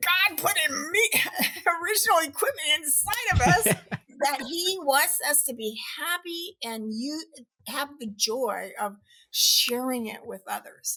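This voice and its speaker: A woman uses a high pitch and a raised, projected voice with very wide pitch swings. Her pace is fairly slow. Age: 70s. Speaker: behavior scientist and author. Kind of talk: podcast interview answer.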